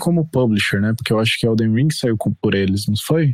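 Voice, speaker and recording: In a very clean recording with a silent background, a man uses a normal speaking voice at medium pitch with ordinary pitch variation. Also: dry, close sound with no echo. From Brazil, Mato Grosso do Sul (Campo Grande). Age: 30s. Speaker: podcast guest, gamer. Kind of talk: casual chat.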